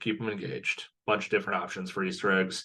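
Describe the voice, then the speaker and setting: A man with a fairly low pitch speaks against a quiet background. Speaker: teacher and online course instructor. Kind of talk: online course lecture.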